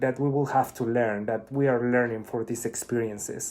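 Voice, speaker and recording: Speaking with a Spanish accent, a man uses a medium pitch and ordinary pitch variation. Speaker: spiritual vlogger. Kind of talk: casual monologue.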